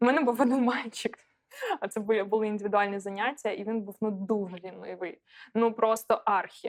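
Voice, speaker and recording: A woman speaks fairly quickly in a Russian accent. Her fairly high voice keeps a fairly even intonation. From Donetsk, eastern Ukraine. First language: Russian (speaking Ukrainian). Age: 30s. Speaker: esports reporter and analyst. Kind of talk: interview. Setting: bar.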